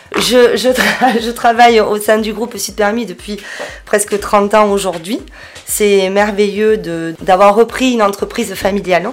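Noticeable background noise sits behind a woman with a medium-pitched voice. She speaks fairly slowly, with fairly even intonation. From southern France, Béziers. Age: 40s. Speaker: business owner. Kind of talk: interview. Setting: her office.

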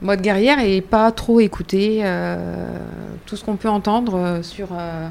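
A woman talks in a normal speaking voice at a medium pitch. Her pitch variation is ordinary. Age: 50s. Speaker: cancer patient, association member. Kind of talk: testimony.

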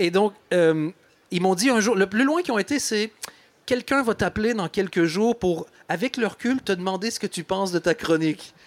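Dry and close with no echo, a man's high-pitched voice moves at a moderate pace with ordinary pitch variation. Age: 40s. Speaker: comedian. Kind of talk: live panel discussion.

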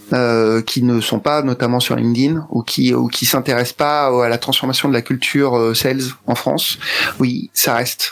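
A man at medium pitch, his intonation fairly even and his pace very slow. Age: 40s. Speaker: sales consultant and entrepreneur. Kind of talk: interview. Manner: halting, many fillers and repetitions.

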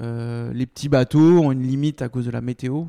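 A man's dark, mellow voice in a monotone, flat intonation. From Bordeaux, France. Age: 30s. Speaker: seafood company founder. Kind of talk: interview. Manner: hesitant, many fillers.

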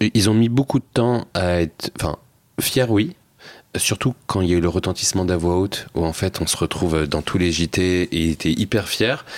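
A man's very deep, low voice at a moderate pace, with ordinary pitch variation and very even loudness, dry and close with no echo. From France, Seine-Saint-Denis (Paris suburbs). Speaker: social entrepreneur and documentary filmmaker. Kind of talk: casual interview chat.

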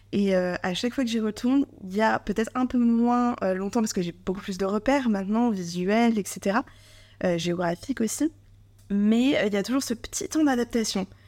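A woman speaks at a moderate pace in a fairly high pitch, with ordinary pitch variation. The recording is very clean, with a silent background. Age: 30s. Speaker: content creator and solo traveler. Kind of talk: casual interview. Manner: hesitant, many fillers.

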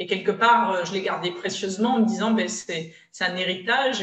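A woman's medium-pitched voice carries audible echo from the room. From Provence, France (Var). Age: 30s. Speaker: business consultant and trainer. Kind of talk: interview.

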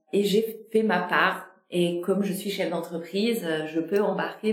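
With audible room echo, a woman speaks at a medium pitch with fairly even intonation. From Normandy and Brittany, France. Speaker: podcast host, business consultant. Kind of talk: interview conversation.

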